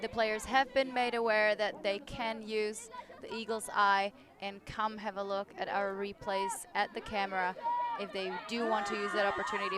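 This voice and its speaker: Fairly slow speech over crowd noise in the background. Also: woman. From Czech Republic. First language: Czech. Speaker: sports commentator. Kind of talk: live commentary.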